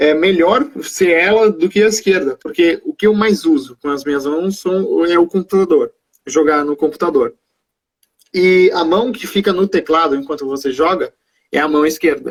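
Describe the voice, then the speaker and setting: Recorded dry and close with no echo, a man speaks at a moderate pace in a high voice with lively intonation. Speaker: stroke survivor, gamer with a channel. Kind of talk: interview. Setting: Instagram live video call. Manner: halting, occasional slurring of words.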